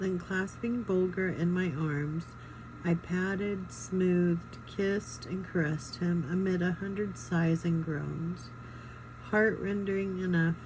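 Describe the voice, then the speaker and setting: Quiet and very slow, a woman speaks at a fairly low pitch with ordinary pitch variation. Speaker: reader of a book. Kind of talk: reading aloud; casual chat.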